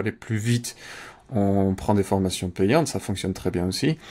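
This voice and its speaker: Fairly low male voice with normal rises and falls in pitch, delivered at a moderate speed. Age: 30s. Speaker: Amazon advertising campaign manager; interview guest. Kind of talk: interview. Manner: hesitant, many fillers. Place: home room.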